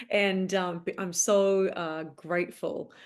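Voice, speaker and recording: Her pitch is fairly low, and her intonation is monotone and flat. The woman speaks with an Australian accent. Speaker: actress. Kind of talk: casual interview chat.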